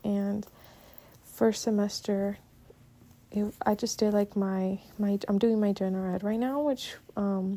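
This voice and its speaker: A woman with a Spanish accent speaks at a fairly slow pace, her medium pitch carried on a dark, mellow tone with fairly even intonation. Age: young. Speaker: podcaster, college student. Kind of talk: casual monologue. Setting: recording at home while doing chores. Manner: halting. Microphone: poor mic, sounds bad.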